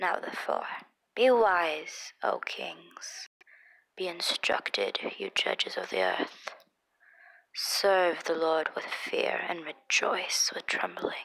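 Whispering, a woman speaks at a very slow pace. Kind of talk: Bible reading. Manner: expressive, not monotone.

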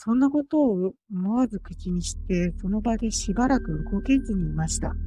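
A plain, everyday voice moves fairly slowly, its pitch rising and falling in an ordinary way. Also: woman. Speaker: virtual youtuber. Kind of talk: ghost story narration. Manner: polite, formal.

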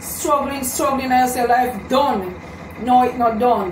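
Audible room echo and light background noise surround a woman who speaks at a high pitch and a moderate pace with fairly even intonation. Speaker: vlogger giving encouragement. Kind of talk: casual vlog chat, motivational. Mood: earnest, encouraging. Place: home room.

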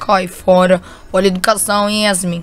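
A woman puts on a hoarse character voice at medium pitch, speaking in a flat monotone at a moderate pace. There is light background noise behind her. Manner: scolding, teasing.

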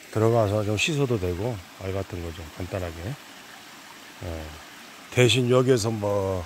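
Very slow speech from a man with a fairly low pitch, ordinary pitch variation and big swings in loudness, in a dry sound with no echo over light background noise. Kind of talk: casual walking commentary. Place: forest. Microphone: phone near.

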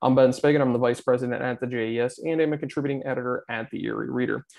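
A man's dark, mellow voice at a very fast pace, with fairly even intonation, against a quiet background. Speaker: event host. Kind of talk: program introduction.

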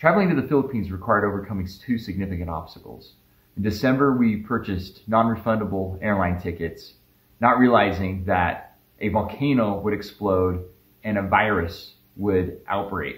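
The voice is somewhat breathy. Audible room echo follows it. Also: man, fairly low pitch for a man, ordinary pitch variation, moderate pace. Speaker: family travel narrator. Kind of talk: vlog narration. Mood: calm, explanatory. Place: home room.

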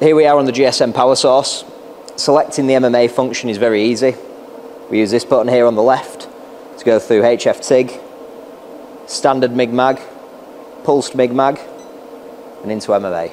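A man talks at a moderate pace with fairly even intonation and long, frequent pauses over light background noise. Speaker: welding product demonstrator. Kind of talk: tutorial. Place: workshop. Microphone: lapel.

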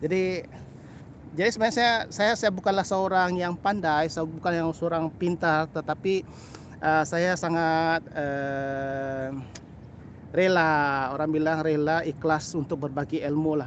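This man speaks at a fairly slow pace with light background noise. The sound is dry with no echo. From Sabah, Malaysia (Kota Kinabalu); Sabah, Malaysia. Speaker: birding vlogger; bird photography vlogger. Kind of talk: live stream commentary. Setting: outdoors by a canal. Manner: code-switching, hesitant with fillers. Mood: warm, friendly. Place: waterside. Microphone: phone near.

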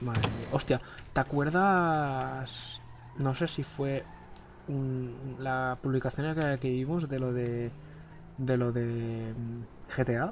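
Speaking at a very slow pace, a man leaves long, frequent pauses. His medium-pitched voice keeps a fairly even intonation. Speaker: gaming youtuber. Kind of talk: casual gameplay chat.

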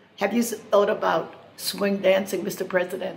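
Music plays behind a woman who talks at a fairly slow pace with a medium pitch. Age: 80s+. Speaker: swing dancer. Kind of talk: spoken appeal addressed to the president. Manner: earnest, pleading. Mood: earnest, pleading. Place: cafe. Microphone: phone near.

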